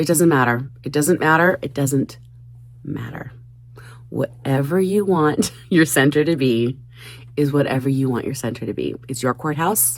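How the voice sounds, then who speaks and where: At a moderate pace, a woman with a very deep, low pitch and vocal fry speaks with ordinary pitch variation. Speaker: crafting YouTuber. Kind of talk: casual craft vlog. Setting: basement craft room.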